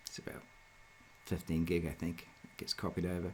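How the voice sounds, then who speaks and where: Light noise sits in the background while the words come at a fairly quick pace. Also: man. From New Zealand, South Auckland; New Zealand. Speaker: software developer; presenter. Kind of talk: tutorial. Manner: hesitant, many fillers. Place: home room.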